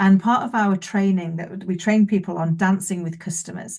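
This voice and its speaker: Against a quiet background, a woman speaks at a fairly quick pace with medium pitch. Her voice is somewhat breathy, her intonation fairly even. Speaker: business owner, keynote speaker and author. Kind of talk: interview. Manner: fast.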